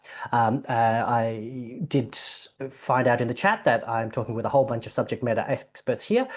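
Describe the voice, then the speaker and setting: A man with an Australian accent, medium pitch and fairly even intonation, over a quiet background. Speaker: general practitioner. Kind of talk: presentation. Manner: fast.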